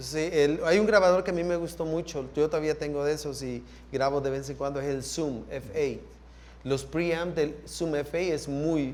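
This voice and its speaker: A man with a Salvadoran accent speaks at a fairly slow pace in a fairly high pitch. His intonation stays fairly even, and room echo is audible. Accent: Salvadoran Spanish (voseo). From El Salvador. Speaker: sound engineer. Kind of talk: panel talk / masterclass conversation.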